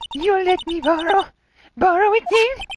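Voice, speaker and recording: Using a put-on character voice, the speaker delivers lively intonation at a moderate pace. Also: woman, extremely high pitch for a woman. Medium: game stream. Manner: gruff and chattering, tic of saying hello.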